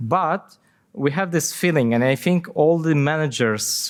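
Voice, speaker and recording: Speaking with a non-native accent at a fairly slow pace, a man swings his pitch very widely in a very clean recording with a silent background. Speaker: software company CTO and conference speaker. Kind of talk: conference Q&A. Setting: conference stage with audience. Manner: halting, many fillers and repetitions.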